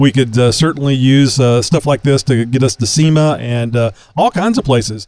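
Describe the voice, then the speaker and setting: Medium pitch from a man with a plain, everyday voice, moderate pace, ordinary pitch variation, very even loudness and a dry, close sound with no echo. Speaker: podcast co-host and interviewer. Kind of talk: casual chat and interview. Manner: jokey, self-deprecating.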